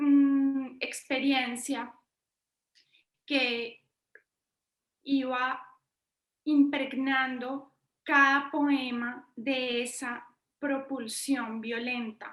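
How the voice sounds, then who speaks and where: A woman talks at a high pitch in a monotone, flat intonation. Her pace is very slow, broken by long, frequent pauses. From Colombia, Bogotá. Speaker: poet and university professor. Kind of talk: interview.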